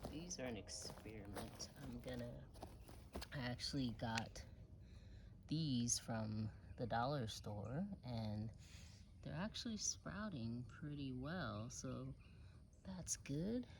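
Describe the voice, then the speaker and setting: With audible room echo, a woman talks at a very slow pace with long, frequent pauses. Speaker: home gardener, channel host. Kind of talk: casual garden tour vlog. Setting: outdoors in her garden.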